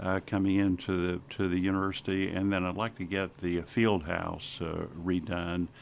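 His voice has a very deep, low pitch and monotone, flat intonation. The man barely pauses at all. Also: moderate pace. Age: 70s. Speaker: university president. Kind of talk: interview. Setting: studio. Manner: halting.

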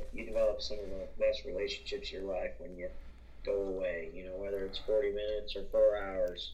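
A man speaks fairly quickly with an American accent. Noticeable background noise is present. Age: 20s. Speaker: sports podcast co-host. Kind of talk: casual sports talk. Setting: remote call over Skype.

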